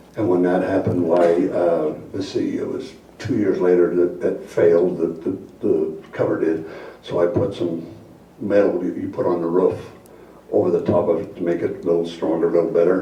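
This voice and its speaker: The recording carries audible room echo and noticeable background noise. Over it, a man talks at a moderate pace. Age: 70s. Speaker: resident giving public comment. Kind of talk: public comment at council meeting. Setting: city council meeting. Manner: halting.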